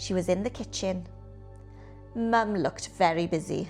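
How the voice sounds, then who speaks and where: Fairly slow speech over music in the background. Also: woman. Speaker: actress and storyteller. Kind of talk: children's picture book reading.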